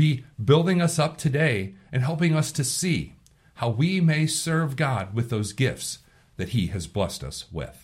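Vocal fry marks this man's medium-pitched voice. His pitch swings very widely. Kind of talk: devotional commentary. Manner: informal.

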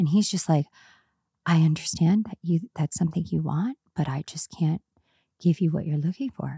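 A woman speaks at a moderate pace with a fairly low pitch, ordinary pitch variation, and a dark, mellow, somewhat breathy tone. The sound is dry and close with no echo, and the recording is very clean with a silent background. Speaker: podcast co-host. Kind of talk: casual chat between friends.

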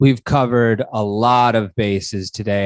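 Recorded with a dry, close sound and no echo, a man with an unremarkable speaking voice and an American accent talks at a fairly low pitch with fairly even intonation. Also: quiet background. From Buffalo, New York, US. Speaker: podcast host. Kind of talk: interview.

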